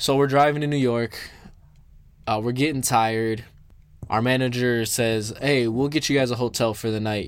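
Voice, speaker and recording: This man has an unremarkable speaking voice, with ordinary pitch variation and a moderate pace. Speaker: podcast host and musician. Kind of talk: storytelling. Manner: casual.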